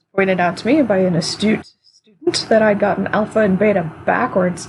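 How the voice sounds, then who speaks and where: Quiet speech at a moderate pace. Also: woman, medium pitch for a woman, ordinary pitch variation, big swings in loudness. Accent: American. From United States. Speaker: energy work teacher. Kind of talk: online class lecture. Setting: live stream on Discord. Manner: casual, hesitant with fillers.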